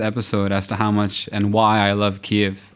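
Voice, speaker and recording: A man speaks at a moderate pace with an American accent and fairly low pitch. It is an unremarkable speaking voice on a very clean recording with a silent background. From US, central New Jersey. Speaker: tech entrepreneur. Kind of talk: interview.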